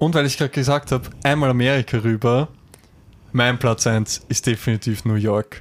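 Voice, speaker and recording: In an Austrian accent, a man speaks at a moderate pace and medium pitch, with fairly even intonation and very even loudness. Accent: Austrian dialect, some. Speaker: podcast co-host. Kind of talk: casual chat.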